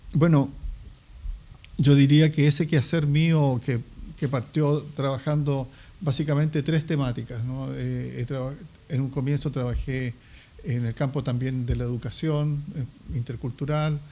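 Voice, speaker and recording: A man talks at a fairly slow pace with long, frequent pauses, his fairly high voice somewhat breathy and dark, mellow in tone, with fairly even intonation. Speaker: historian. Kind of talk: interview. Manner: halting, many fillers.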